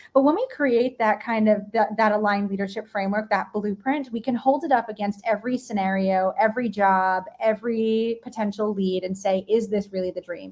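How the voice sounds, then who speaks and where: With an American accent, a woman talks fairly quickly in a fairly high voice, with fairly even intonation, big swings in loudness and hardly any pauses. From New York. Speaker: leadership and mindset coach. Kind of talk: live-streamed interview. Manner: fast.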